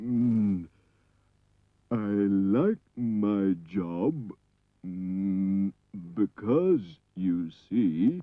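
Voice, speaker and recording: A mumbling man in a cartoonish character voice, fairly low in pitch, at a very slow pace with long, frequent pauses. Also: ordinary pitch variation. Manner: hesitant, mumbling with mm sounds.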